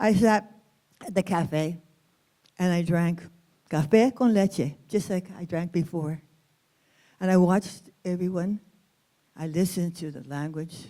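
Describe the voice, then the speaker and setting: In a dark, mellow tone, the voice moves at a fairly slow pace with long, frequent pauses, big swings in loudness and ordinary pitch variation. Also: woman, fairly low pitch for a woman. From US West, East Los Angeles. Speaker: storyteller. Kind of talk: storytelling performance. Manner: expressive.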